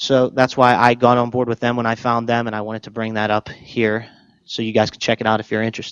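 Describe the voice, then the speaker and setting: Here a man talks at a very fast pace. His medium-pitched voice stays monotone and flat. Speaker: chef and cookbook author. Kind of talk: presentation to an audience. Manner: talkative, rambling.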